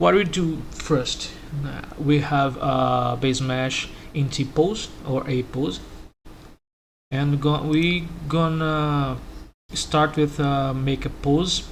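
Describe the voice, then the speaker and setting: A man speaks at a very slow pace with long, frequent pauses and fairly even intonation. Room echo is audible. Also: fairly high pitch for a man. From Brazil. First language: Portuguese. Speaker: 3D modeler. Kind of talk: tutorial. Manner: halting.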